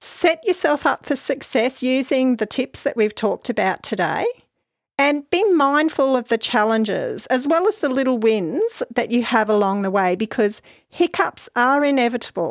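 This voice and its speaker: With an Australian accent, a woman speaks at a high pitch and moderate pace, with very wide pitch swings and very even loudness. The recording is very clean with a silent background, and the sound is dry and close with no echo. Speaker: podcast host, mental health social worker. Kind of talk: solo podcast talk.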